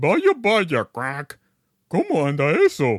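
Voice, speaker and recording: A man puts on a character voice, fairly high in pitch, and speaks at a very slow pace. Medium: read story. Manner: bossy, quacking between sentences.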